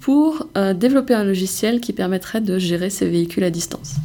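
An unremarkable speaking voice from a woman at medium pitch, moderate in pace and lively in intonation. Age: 20s. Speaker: startup co-founder. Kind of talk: interview.

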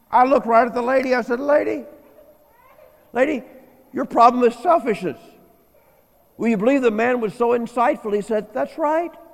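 A man with an American accent talks at a fairly quick pace in an extremely high pitch, with ordinary pitch variation and long, frequent pauses. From US Midwest, inner-city St. Louis. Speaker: guest preacher and marriage teacher. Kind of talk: sermon. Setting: church.

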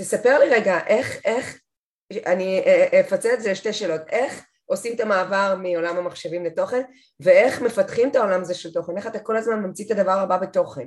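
Against a quiet background, a woman talks fairly quickly at a medium pitch with ordinary pitch variation. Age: 40s. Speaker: podcast host. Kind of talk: interview.

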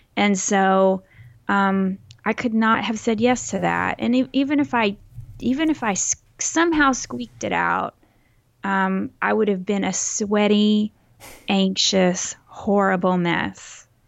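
A woman with a Texas accent at a fairly slow pace. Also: medium pitch for a woman, lively intonation. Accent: mild Texas. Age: 40s. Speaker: podcast co-host. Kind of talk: casual chat. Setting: home recording, remote.

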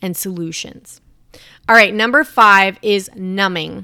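A woman speaks in an animated tone that is bright and sharp. The recording is very clean with a silent background, and the sound is dry and close with no echo. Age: 30s. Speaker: podcast host and mindset coach. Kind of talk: solo podcast monologue.

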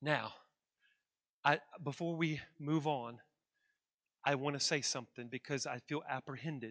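Over a silent background in a very clean recording, a man with a fairly high pitch and fairly even intonation speaks with long, frequent pauses. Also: moderate pace, dry, close sound with no echo. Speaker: pastor. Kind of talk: sermon. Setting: church service with congregation. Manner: loud, exuberant preaching.

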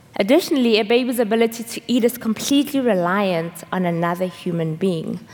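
Over noticeable background noise, a woman with a medium pitch speaks at a fairly quick pace with lively intonation. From South Africa. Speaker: seminary intern preaching. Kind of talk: sermon. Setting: church service with congregation.

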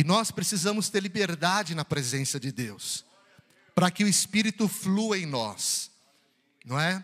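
A high-pitched man talks at a fairly slow pace, leaving long, frequent pauses. His intonation is lively and his tone animated. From São Paulo, Brazil. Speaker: preacher. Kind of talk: sermon. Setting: church.

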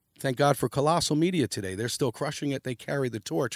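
Recorded very cleanly against a silent background, with a dry, close sound and no echo, a man speaks at a medium pitch with lively intonation and a New York accent. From New York City, downtown Manhattan. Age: 50s. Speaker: graffiti artist and designer. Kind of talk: casual interview.

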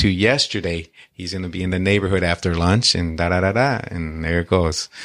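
A man's very deep, low voice with an American accent, at a moderate pace and fairly even intonation, dry and close with no echo in a very clean recording over a silent background. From Detroit, Michigan. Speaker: Marine veteran and mortgage and real estate professional. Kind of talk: casual interview chat.

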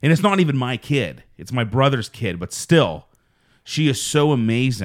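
Loud and at a moderate pace, a man speaks at a medium pitch with very wide pitch swings. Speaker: podcast host. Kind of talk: casual chat. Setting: studio. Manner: loud, boisterous.

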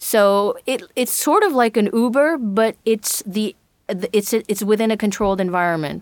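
This woman speaks at a fairly slow pace with a fairly high pitch, ordinary pitch variation, and an unremarkable speaking voice. The sound is dry and close, with no echo. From Brazil, with years in Japan and the US. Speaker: singer-songwriter. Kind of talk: interview.

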